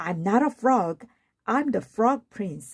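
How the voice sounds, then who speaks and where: In a put-on character voice, the speaker uses a fairly high pitch and a fairly slow pace. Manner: a little annoyed.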